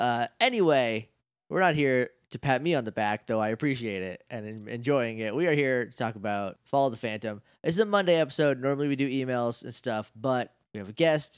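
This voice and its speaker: The recording is very clean, with a silent background. A man with an unremarkable speaking voice talks at a fairly quick pace, with ordinary pitch variation and big swings in loudness. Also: medium pitch for a man. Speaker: podcast host. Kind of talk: casual chat.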